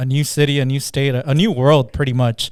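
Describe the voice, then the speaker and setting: In a very clean recording with a silent background, a man of medium pitch speaks with a Spanish accent at a moderate pace and with fairly even intonation. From Southern California (born Guatemala). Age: 30s. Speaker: business owner. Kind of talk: interview. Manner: halting.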